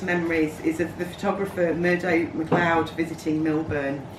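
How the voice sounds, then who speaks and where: Someone with a Lincolnshire accent speaks at a moderate pace over noticeable background noise. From England, Lincolnshire. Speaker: community member giving a speech. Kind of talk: speech read aloud at an event.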